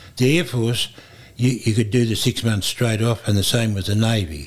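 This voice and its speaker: The speaker has an Australian accent, a moderate pace and ordinary pitch variation. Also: man. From Queensland, Australia. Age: 80s+. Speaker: retired airline pilot. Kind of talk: oral history interview. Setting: museum.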